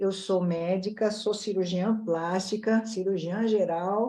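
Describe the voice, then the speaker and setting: At a fairly slow pace, a woman speaks at medium pitch in a dark, mellow tone with fairly even intonation. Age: 60s. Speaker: plastic surgeon. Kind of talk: casual panel chat.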